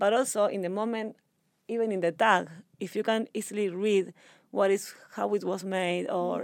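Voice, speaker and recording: Heard on a very clean recording with a silent background, a woman speaks at medium pitch with ordinary pitch variation. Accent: Spanish. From Argentina. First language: Spanish. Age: 30s. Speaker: sustainable fashion entrepreneur. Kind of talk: interview. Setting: in person.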